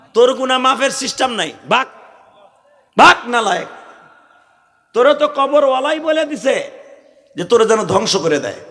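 A man with an extremely high-pitched, animated voice and ordinary pitch variation. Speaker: Islamic preacher. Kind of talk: sermon.

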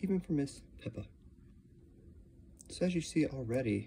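A man talks at a moderate pace with a dark, mellow tone and a somewhat breathy quality. His pitch swings very widely over light background noise. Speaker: slime and ASMR video creator. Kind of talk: ASMR slime demo to camera. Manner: soft-spoken, relaxing. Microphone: phone near.

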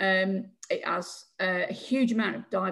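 A somewhat breathy woman's voice at medium pitch, with a Yorkshire accent. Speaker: community campaign group chair. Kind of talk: public Q&A question. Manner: halting.

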